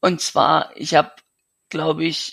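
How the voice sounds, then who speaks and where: A man talks at a very slow pace. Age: 20s. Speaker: young man with a severe genetic illness. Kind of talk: interview. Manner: halting.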